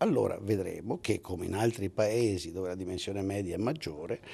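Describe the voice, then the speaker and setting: This is a man's voice. He talks at a fairly quick pace. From Italy, Veneto (Padua); Veneto, Italy. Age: 60s. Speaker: economics professor. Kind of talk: interview; interview answer. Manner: halting, with self-corrections. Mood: argumentative, lively. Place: hall. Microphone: handheld.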